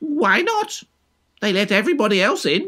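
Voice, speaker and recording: Using a put-on character voice, a man speaks at an extremely high pitch with very wide pitch swings. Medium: read story. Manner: smug, self-assured.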